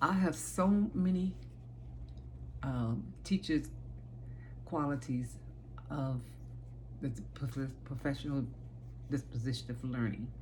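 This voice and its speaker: A woman with an American accent talks at a fairly slow pace with long, frequent pauses, and audible room echo surrounds her voice. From Chicago, South Side. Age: 60s. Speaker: aspiring teacher, childcare worker. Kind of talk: self-presentation video. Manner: halting, with fillers.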